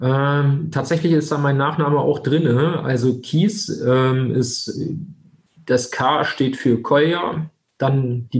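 A man's somewhat breathy, fairly high-pitched voice at a very slow pace with fairly even intonation. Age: 20s. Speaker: insurance broker, company founder. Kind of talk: interview.

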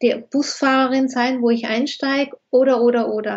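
Her pace fairly slow, a woman talks in a high voice. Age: 50s. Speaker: expert on feminine principle, author. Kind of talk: interview.

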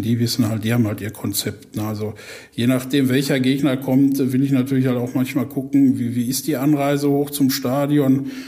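Medium pitch for a man, a dark, mellow tone, flat monotone delivery at a moderate pace. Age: 40s. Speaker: football club fan liaison officer. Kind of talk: podcast interview.

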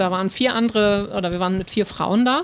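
The woman talks at a fairly quick pace while noticeable background noise carries on. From northern Germany, North Frisia. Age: 40s. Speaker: harbour tour guide. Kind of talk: interview. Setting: outdoors on a ship in the harbour.

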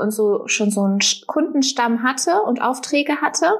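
A woman speaks at a fairly slow pace. Hers is an unremarkable speaking voice. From Germany, near Paderborn (Westphalia). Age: 20s. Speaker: online shop owner and mother. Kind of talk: casual interview.

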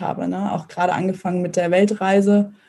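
In a somewhat breathy, dark and mellow voice, a woman talks at a moderate pace with monotone, flat intonation. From northern Germany, Mecklenburg. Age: 20s. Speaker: startup founder. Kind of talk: interview. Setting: video call.

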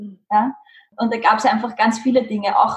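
A woman talks at a moderate pace in a plain, everyday voice. Her pitch is fairly high. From Lower Austria, Mödling. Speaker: spiritual coach and trainer. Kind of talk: interview.

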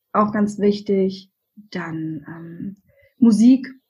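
A woman speaks at a very slow pace in a somewhat breathy voice. Her pitch is medium, with ordinary pitch variation. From Saxony, Germany. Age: 30s. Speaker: virtual assistant for podcasters. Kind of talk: interview.

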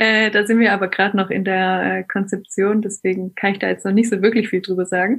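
A woman at a fairly quick pace, in monotone, flat intonation, with hardly any pauses. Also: medium pitch for a woman. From Hohenlohe, southwest Germany. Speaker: schnapps distillery co-founder. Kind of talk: casual interview. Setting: remote call.

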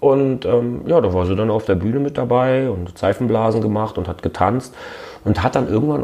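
With noticeable noise behind him, a man speaks fairly quickly and with lively intonation. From Berlin. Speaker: rapper and radio host. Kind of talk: casual interview. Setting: at his home.

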